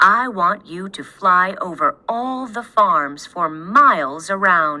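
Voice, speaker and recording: A woman performs a put-on character voice at a medium pitch. Her delivery is fairly slow, with lively intonation. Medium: read story.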